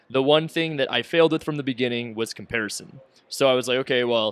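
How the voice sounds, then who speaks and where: This man's tone is bright and sharp at a medium pitch. He talks at a fairly quick pace with fairly even intonation. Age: 20s. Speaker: real estate investor. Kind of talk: podcast interview. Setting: live at a conference.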